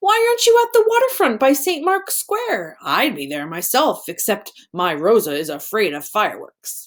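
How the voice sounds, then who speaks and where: A woman's put-on character voice at a moderate pace, with hardly any pauses. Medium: read story. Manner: friendly, warm.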